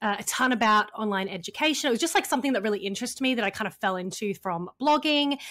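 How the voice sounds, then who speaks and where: This is a very clean recording with a silent background. A woman speaks with an Australian accent at a fairly high pitch. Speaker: funnel and launch strategist, copywriter. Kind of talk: podcast interview. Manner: casual, many fillers.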